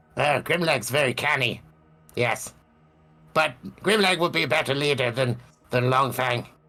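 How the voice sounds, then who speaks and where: A man puts on a character voice at medium pitch. He keeps a moderate pace but leaves long, frequent pauses. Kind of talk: tabletop roleplaying game session, in-character talk.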